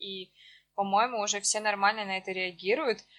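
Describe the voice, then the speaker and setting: Speaking at a moderate pace, a woman has a normal speaking voice and a fairly high pitch. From Russia, Siberia (Achinsk). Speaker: podcast co-host. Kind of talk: casual chat.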